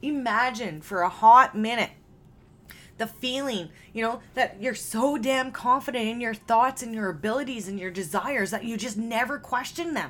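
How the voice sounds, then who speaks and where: A woman with a Canadian accent speaks at a moderate pace in a plain, everyday voice. Her pitch is fairly high with ordinary variation, on a very clean recording with a silent background. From Canada. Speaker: mindset and success coach, podcast host. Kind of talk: solo podcast monologue. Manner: casual, filler-heavy.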